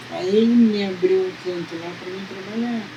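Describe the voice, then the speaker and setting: A woman talks with ordinary pitch variation. Noticeable background noise and audible room echo fill the recording. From Brazil, Sertãozinho, São Paulo state. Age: 80s+. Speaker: folk healer. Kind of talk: interview. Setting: at home.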